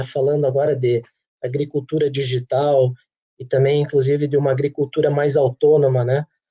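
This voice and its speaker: This man has a southern Brazilian accent and a fairly high pitch, with a dark, mellow tone. His voice is somewhat breathy, and he talks at a moderate pace. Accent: gaúcho. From Rio Grande do Sul, Brazil (Santa Rosa, northwest). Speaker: agricultural machinery company executive. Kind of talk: webinar presentation.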